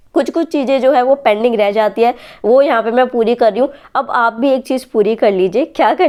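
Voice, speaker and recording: A woman's high voice at a moderate pace against a quiet background. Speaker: exam aspirant vlogger. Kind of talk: study vlog. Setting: at home at night.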